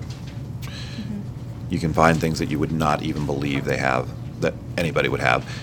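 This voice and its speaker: Over noticeable background noise, a man with an American accent speaks at a fairly quick pace in a very deep, low pitch with lively intonation. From Bloomington, Indiana (US Midwest). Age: 40s. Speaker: high school teacher. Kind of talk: interview.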